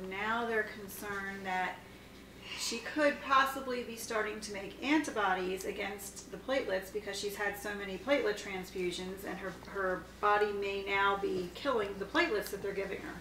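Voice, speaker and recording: A woman at a moderate pace, with big swings in loudness, ordinary pitch variation, light background noise and audible room echo. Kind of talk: casual vlog update. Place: home room. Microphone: camera far.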